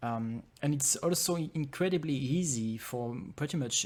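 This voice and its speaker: A man with a French accent speaks at a medium pitch and moderate pace with ordinary pitch variation, on a very clean recording with a silent background. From France. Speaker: game developer and conference speaker. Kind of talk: conference talk. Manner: hesitant, many fillers.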